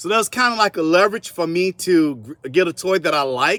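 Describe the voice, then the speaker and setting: With a Southern US accent, a man speaks at a moderate pace in a fairly high pitch, his bright, sharp tone carrying lively intonation over a very clean recording with a silent background and a dry, close sound with no echo. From US South, South Carolina (Columbia). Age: 40s. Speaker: artist. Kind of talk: interview.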